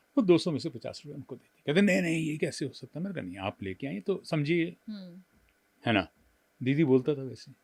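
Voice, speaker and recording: Using vocal fry, a man with a fairly high pitch speaks at a moderate pace with very wide pitch swings and big swings in loudness. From Delhi, India. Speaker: voice-over artist and former news anchor. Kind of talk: interview answer.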